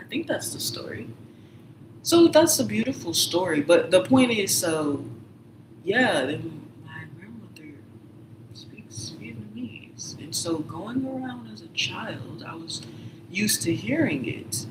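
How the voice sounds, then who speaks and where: Speech with an American accent moves at a very slow pace, broken by long, frequent pauses. Noticeable background noise sits underneath. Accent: others say she sounds southern. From Michigan, Detroit. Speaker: livestreamer. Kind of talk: casual monologue. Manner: rambling, self-interrupting.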